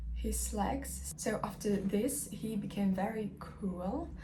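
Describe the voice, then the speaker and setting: Non-native accent with audible room echo. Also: woman. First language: not English. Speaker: book vlogger. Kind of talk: casual vlog talk. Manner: halting, many fillers.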